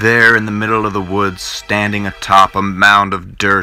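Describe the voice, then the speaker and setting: Music plays in the background. A man speaks very deep and low, at a fairly slow pace. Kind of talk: old time radio style horror narration. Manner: dramatic, suspenseful.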